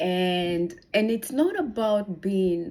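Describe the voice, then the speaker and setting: A woman talks with a Kenyan accent. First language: Kikuyu. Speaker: personal growth vlogger. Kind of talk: casual motivational vlog. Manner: halting.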